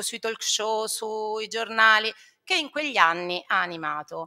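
The background is quiet. The tone is bright and sharp. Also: woman. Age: 50s. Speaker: primary school teacher. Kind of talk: talk to students; lecture. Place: hall. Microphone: podium.

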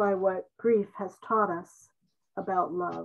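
A woman talks very slowly in a warm tone. Her intonation is fairly even, with a quiet background. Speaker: poet and writing-group member. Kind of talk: poem reading, tribute. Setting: Zoom video call. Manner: measured, reflective, warm. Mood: gentle, reflective, grieving. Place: home room. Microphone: video call.

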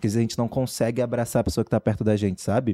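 The man's intonation is fairly even. His tone is dark and mellow. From São Gonçalo, Rio de Janeiro; Rio de Janeiro. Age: 20s. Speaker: professional dancer; podcast guest. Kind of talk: casual chat. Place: studio. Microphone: studio mic.

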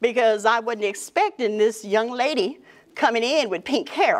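An animated tone in an American accent, with lively intonation, a moderate pace and a quiet background. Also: woman. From Texas. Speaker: small business mentor; guest. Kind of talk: presentation to a live audience. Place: meeting room.

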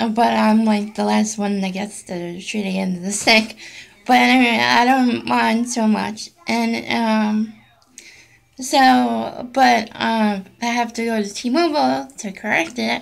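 A woman at medium pitch speaks very slowly, her pitch swinging very widely. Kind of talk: casual talk to camera. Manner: hesitant, many fillers.

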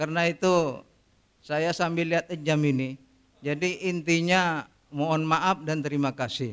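A man speaks at a fairly slow pace with a fairly high pitch. His intonation stays fairly even. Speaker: retiring judge. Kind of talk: farewell speech. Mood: warm, apologetic farewell. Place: hall. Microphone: podium.

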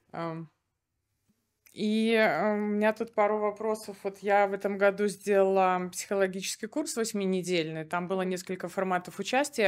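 Her pitch medium, a woman speaks in a plain, everyday voice. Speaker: gestalt therapist, former doctor; audience member. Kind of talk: audience question at a live talk. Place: hall. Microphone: handheld.

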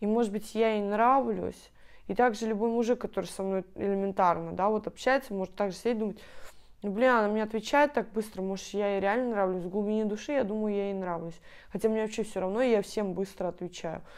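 A woman talks fairly quickly, with only quiet in the background. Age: 20s. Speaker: video blogger. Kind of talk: casual Q&A vlog. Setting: at home on her bed. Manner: animated. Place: home room. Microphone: lapel.

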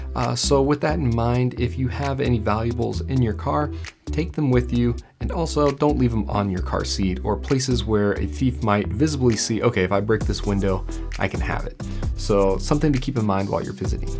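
Over clear background music, a man speaks at a fairly quick pace in a very deep, low pitch. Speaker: hiking channel host. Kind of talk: trail review talk to camera. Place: studio.

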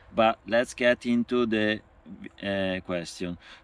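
A man's voice with fairly even intonation comes through in a dry sound with no echo. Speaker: cycling traveller vlogger. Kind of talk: casual vlog Q&A chat. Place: forest. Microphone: phone near.

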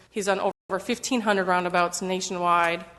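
A woman speaks with an American accent. Her intonation stays monotone and flat. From Michigan. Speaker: roadway design engineer. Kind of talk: presentation at council meeting. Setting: council chamber with audience, microphone. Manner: fast. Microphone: muffled when wearing mask.

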